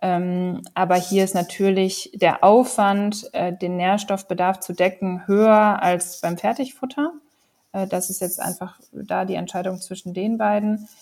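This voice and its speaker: A woman with an ordinary speaking voice talks at a fairly slow pace in a medium pitch, keeping her intonation fairly even. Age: 30s. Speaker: company co-founder. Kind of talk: interview.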